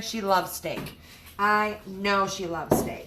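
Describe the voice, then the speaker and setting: Noticeable background noise runs beneath this recording. A woman talks amid audible room echo. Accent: American. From US Midwest, Michigan. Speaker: cooking livestream host. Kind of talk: live cooking demonstration. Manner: chatty, upbeat.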